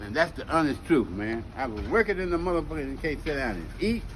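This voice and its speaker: Against noticeable background noise, a man talks at a fairly quick pace and a fairly high pitch. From Texas (Palestine, East Texas). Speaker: elder storyteller. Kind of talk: casual chat. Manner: animated; repetitive, stammering.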